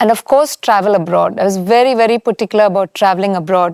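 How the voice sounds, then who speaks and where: A woman speaks at medium pitch with a Keralan accent. The sound is dry and close, with no echo. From India, Chennai (Tamil Nadu). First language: Malayalam. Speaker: architect. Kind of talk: interview.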